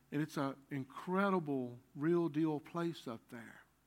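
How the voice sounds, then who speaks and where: Fairly high in pitch, a man talks in a Southern US accent. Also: very clean recording, silent background. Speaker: pastor. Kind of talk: sermon. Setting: church. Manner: halting.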